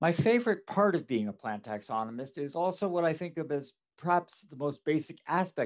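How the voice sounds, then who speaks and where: In a quiet background, a man speaks at a fairly quick pace with very wide pitch swings. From rural New York State. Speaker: professor, plant taxonomist; professor. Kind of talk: recorded talk for students. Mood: warm, enthusiastic. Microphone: headset.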